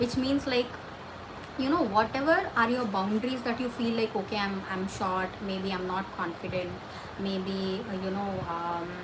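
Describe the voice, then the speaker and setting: A woman speaks at a medium pitch and a moderate pace. Her voice carries audible room echo over noticeable background noise. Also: ordinary pitch variation. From India. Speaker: livestream host giving career advice. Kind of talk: casual livestream chat answering viewer questions. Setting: livestream.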